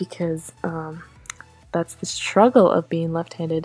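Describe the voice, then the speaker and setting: Against music in the background, a woman speaks at a moderate pace. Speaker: art youtuber. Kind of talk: voiceover commentary over drawing video. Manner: casual, filler-heavy.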